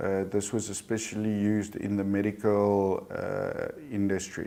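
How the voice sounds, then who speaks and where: A man speaks at a fairly slow pace. His fairly low voice stays monotone and flat. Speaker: company CEO. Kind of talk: corporate results presentation. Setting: live stream.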